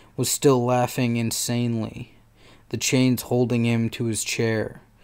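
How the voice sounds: A voice reads aloud. It sounds natural.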